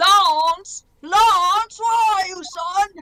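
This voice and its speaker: An extremely high-pitched, put-on character voice is heard. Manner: calling out, searching.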